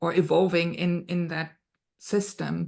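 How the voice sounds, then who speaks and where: A woman speaks with a German accent. The background is quiet. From Germany. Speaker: podcast host. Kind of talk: casual interview chat.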